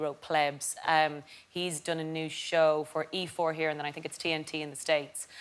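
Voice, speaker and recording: Speaking at a moderate pace with a southern Irish accent, a woman has a very deep, low pitch and monotone, flat intonation. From Ireland. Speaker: comedian. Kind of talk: casual chat.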